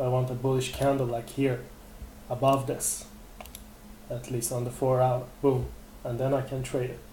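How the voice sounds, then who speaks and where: Long, frequent pauses break up a man's flat, monotone delivery at a medium pitch, with audible room echo around him. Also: moderate pace. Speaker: trading webinar presenter. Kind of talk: live webinar tutorial. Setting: live webinar. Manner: hesitant fillers.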